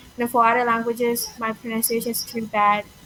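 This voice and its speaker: Over noticeable background noise, a woman with a Burmese accent speaks fairly quickly at a fairly high pitch. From Myanmar. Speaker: language learner. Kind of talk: casual conversation. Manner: halting, with fillers.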